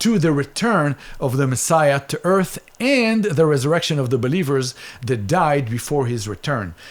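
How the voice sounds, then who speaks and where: A man with an Israeli accent, fairly high-pitched, with lively intonation at a moderate pace. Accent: Israeli, noticeable. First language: Hebrew. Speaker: Bible teacher. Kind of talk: Bible teaching.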